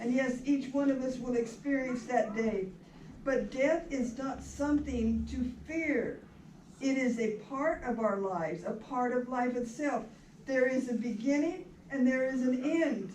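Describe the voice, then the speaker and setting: A woman with a high pitch speaks fairly slowly, with ordinary pitch variation. Audible room echo and noticeable background noise are present. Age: 80s+. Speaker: minister officiating a memorial. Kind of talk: funeral sermon. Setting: memorial service in a rec hall.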